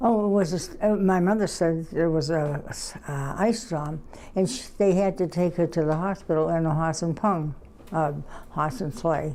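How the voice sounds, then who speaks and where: A woman with a fairly low voice speaks at a moderate pace with ordinary pitch variation, over noticeable background noise. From New England. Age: 90s. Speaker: interviewee. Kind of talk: interview. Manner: halting.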